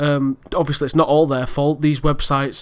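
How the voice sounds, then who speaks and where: This man's pitch is fairly high. His intonation stays monotone and flat. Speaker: gaming YouTuber. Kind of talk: casual commentary vlog. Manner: fast; rambling with many fillers.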